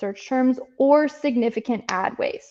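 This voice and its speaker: A woman talks in a high pitch. Her pitch variation is ordinary. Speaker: Amazon advertising agency presenter. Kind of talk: live presentation with screen share. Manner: fast.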